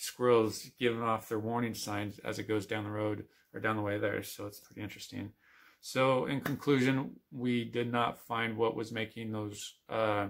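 The man speaks at a moderate pace in a monotone, flat intonation with a quiet background. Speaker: outdoor vlogger. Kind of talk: casual vlog chat. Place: home room. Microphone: phone near.

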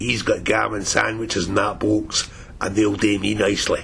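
A man puts on a raspy character voice with a Glaswegian accent, speaking at a moderate pace with a fairly low pitch. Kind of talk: comedic narration.

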